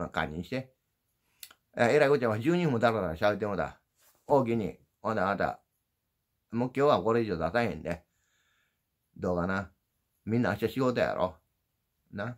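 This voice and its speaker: In an Osaka accent, a man with a fairly low pitch speaks at a moderate pace with lively intonation and long, frequent pauses against a quiet background. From Osaka, Japan. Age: old. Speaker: YouTuber, former dump truck driver; YouTuber. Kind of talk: casual livestream chat; casual vlog chat. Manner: sounds gruff, as if angry. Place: home room. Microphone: phone near.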